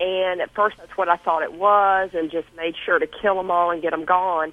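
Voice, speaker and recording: With a Southern accent, a woman speaks in a fairly low pitch with monotone, flat intonation. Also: moderate pace. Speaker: caller. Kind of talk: call-in question. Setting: phone call.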